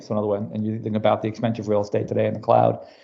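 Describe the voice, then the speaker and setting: A man speaks with an American accent. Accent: New York accent, stronger when passionate. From US Northeast, New York City. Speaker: business technology executive. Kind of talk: podcast interview. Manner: casual, filler-heavy.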